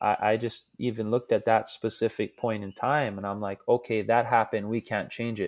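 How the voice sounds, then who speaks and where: Against a silent background in a very clean recording, a man speaks with a Hawaiian accent and fairly even intonation. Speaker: pro surfer and scientist. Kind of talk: casual chat.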